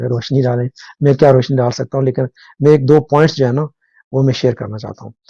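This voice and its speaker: A man with a somewhat breathy, dark, mellow voice of medium pitch speaks at a moderate pace in a monotone, flat intonation, the sound dry and close with no echo. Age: 60s. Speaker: current affairs commentator. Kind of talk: live talk show discussion. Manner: halting, many fillers.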